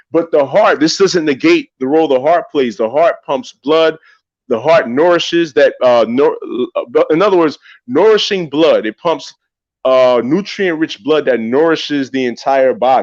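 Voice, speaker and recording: In a New York accent, a man talks at a moderate pace with lively intonation, the sound dry and close with no echo over a quiet background. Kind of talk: religious discussion podcast.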